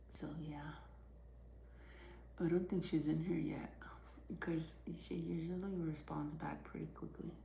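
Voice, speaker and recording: A soft-spoken woman talks with long, frequent pauses amid audible room echo. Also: moderate pace. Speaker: livestreamer. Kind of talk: casual chat.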